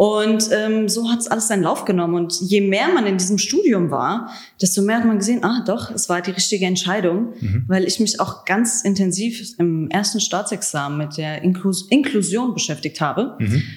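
With a plain, everyday voice, a woman talks at a moderate pace and medium pitch, with ordinary pitch variation and hardly any pauses. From Germany, Hesse (Frankfurt area), Croatian family. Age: 20s. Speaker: trainee teacher. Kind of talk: interview.

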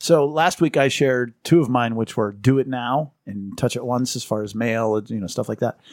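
Using a normal speaking voice, a man talks at a medium pitch and moderate pace. He barely pauses, and his pitch varies in an ordinary way. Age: 50s. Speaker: podcast co-host. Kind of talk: casual chat.

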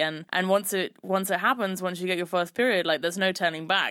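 On a very clean recording with a silent background, a woman with a London accent speaks at a fairly quick pace, a fairly low pitch and fairly even intonation. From London, England. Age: 20s. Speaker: podcast host. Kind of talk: personal storytelling monologue.

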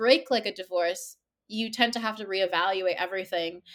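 A normal speaking voice from a woman with a Canadian accent, medium pitch, fairly even intonation and a moderate pace. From Toronto, Canada. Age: 30s. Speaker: novelist. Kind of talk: interview.

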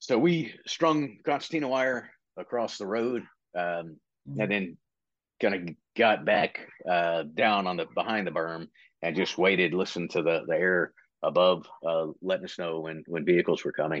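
Over a quiet background, a man with an American accent speaks at a moderate pace in a very deep, low voice with lively intonation. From Virginia / West Virginia border, US. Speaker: retired Marine, military training director. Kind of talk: casual interview.

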